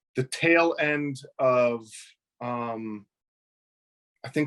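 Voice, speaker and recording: This man's medium-pitched voice sounds dry and close, with no echo. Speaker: puppeteer. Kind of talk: interview answer.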